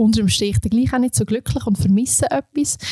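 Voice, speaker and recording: With an Aargau accent, a woman speaks in a dark, mellow, somewhat breathy tone with ordinary pitch variation and a dry, close sound with no echo. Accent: Swiss German (Aargau). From Switzerland, canton Aargau. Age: 30s. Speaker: vocational education specialist, former dive resort manager. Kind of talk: interview.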